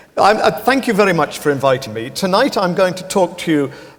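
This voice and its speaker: A man with an English accent and lively intonation over noticeable background noise. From northern England (Pontefract, Yorkshire). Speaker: philosophy professor. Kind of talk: public lecture.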